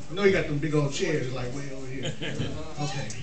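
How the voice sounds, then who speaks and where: The speaker moves at a fairly quick clip with ordinary pitch variation, and background noise is noticeable. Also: man. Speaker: stand-up comedian. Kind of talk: stand-up comedy routine. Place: hall. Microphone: camera far.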